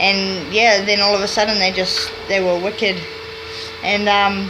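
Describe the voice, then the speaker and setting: With a New Zealand accent, a woman of medium pitch speaks at a fairly slow pace in a monotone, flat intonation and very even loudness, with audible room echo and noticeable background noise. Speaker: vlogger. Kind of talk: casual vlog monologue.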